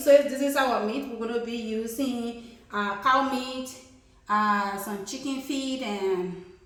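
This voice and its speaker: Her voice sits fairly high for a woman. The room adds an audible echo. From Liberia. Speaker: cooking channel host. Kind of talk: cooking tutorial. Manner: casual, with many fillers.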